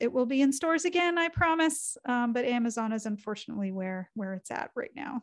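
A woman speaks with a high pitch and lively intonation. The background is quiet. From Canada. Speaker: cartoonist and author. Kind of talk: lecture. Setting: video call. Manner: soft-spoken. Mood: lively, humorous. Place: home room.

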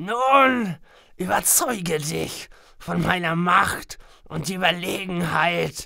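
A female-sounding voice at middle pitch, very slow in pace. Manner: smug, theatrical villain.

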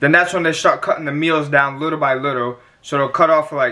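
A man's bright, sharp tone with fairly even intonation, over a quiet background. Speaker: fitness vlogger. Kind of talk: casual vlog chat with tips. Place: home room. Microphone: phone near.

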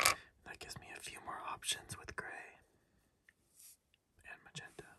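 At a moderate pace, a man whispers. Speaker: ASMR creator. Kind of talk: ASMR puzzle-solving whisper video. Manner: whispered, soft-spoken.

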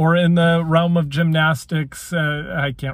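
A man speaks at a fairly slow pace in a somewhat breathy voice, with a quiet background and a dry sound with no echo. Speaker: sports commentator vlogger. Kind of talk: casual commentary. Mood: opinionated, light laughs. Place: car. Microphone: phone near.

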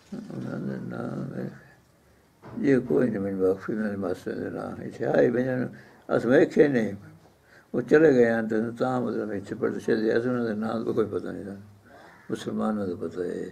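A man's fairly low voice carries vocal fry and a dark, mellow tone, with ordinary pitch variation. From Pakistani Punjab, Jhang district; Punjab, Pakistan. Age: 80s+. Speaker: retired teacher. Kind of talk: interview. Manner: halting. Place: home room. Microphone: phone near.

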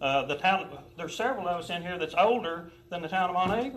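A high-pitched man with audible room echo. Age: 60s. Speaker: business owner addressing council. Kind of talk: heated debate. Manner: halting, repeats words.

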